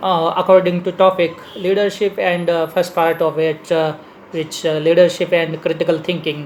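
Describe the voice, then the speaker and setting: With monotone, flat intonation, a man with a high pitch keeps a moderate pace over noticeable background noise. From India. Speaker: leadership speaker. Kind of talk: lecture. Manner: halting, many fillers.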